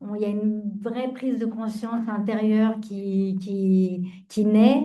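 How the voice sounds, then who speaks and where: Very slowly, a woman speaks with a dark, mellow tone, fairly high pitch, and fairly even intonation. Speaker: founder of a closed business. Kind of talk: panel discussion. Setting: round table with audience and video participants. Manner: loud; hesitant, many fillers.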